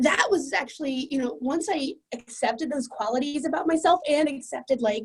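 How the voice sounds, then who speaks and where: Her pitch is high and her intonation lively. The woman keeps a moderate pace with hardly any pauses. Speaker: client sharing a success story. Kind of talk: interview testimony. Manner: loud; casual, filler-heavy.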